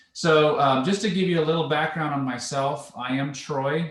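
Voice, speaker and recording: A man with a Canadian accent speaks in a somewhat breathy voice, with audible room echo. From Canada, Vancouver Island, British Columbia. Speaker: home warranty account executive. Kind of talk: presentation. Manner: casual.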